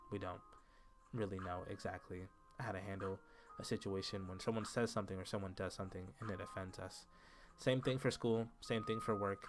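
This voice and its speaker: A man speaks at a fairly quick pace in a fairly low pitch, his intonation fairly even, with music playing in the background. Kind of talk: casual talk to camera.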